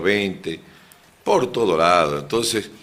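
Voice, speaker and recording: This is a man talking. His delivery is very slow. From Bolivia, moved around mining regions. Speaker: lawyer and political candidate. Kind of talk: radio interview.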